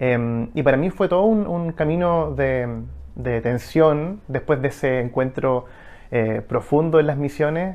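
A man with a Chilean accent and a fairly high pitch, at a fairly slow pace with ordinary pitch variation. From Chile, Valparaíso region. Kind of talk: testimony. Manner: halting, many fillers. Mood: calm, reflective. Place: home room. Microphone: lapel.

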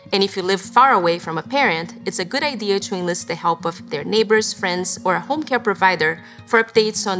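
Faint music plays behind a woman speaking at a fairly quick pace. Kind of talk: informational explainer to camera. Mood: warm, calm, caring. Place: studio.

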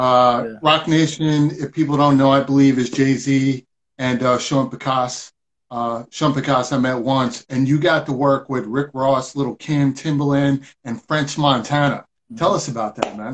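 A normal speaking voice from a man, fairly high in pitch, at a moderate pace with fairly even intonation and light background noise. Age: 40s. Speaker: online talk show host. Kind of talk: casual interview chat. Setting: live video stream.

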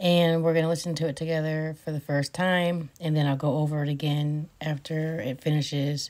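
Her pitch is fairly low for a woman. Her intonation stays fairly even. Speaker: paranormal vlogger. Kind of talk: casual vlog chat. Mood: curious, slightly uneasy. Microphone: phone near.

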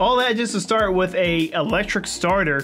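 Over faint background music, a man talks in a high voice with ordinary pitch variation. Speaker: car vlogger. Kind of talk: casual vlog chat. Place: home room. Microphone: studio mic.

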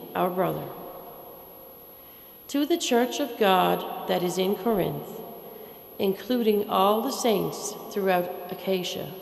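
Delivered at a fairly slow pace with long, frequent pauses, the speech has ordinary pitch variation, very even loudness and audible room echo. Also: woman. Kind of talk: scripture reading. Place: church. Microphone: podium.

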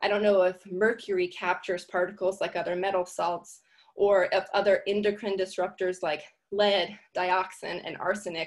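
Against a quiet background, a woman at medium pitch speaks at a moderate pace with monotone, flat intonation. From Louisiana. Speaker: artist and activist. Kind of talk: presentation. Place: home room. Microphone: video call.

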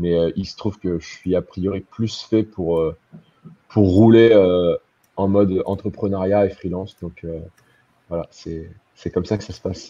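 In a dark, mellow tone, the speaker goes very slowly and flatly in a monotone, with long, frequent pauses and big swings in loudness. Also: man, very deep, low pitch for a man. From Normandy, France (born in Caen). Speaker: web developer and designer, entrepreneur. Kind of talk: live-streamed interview. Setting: online live stream, video call. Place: home room. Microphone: video call.

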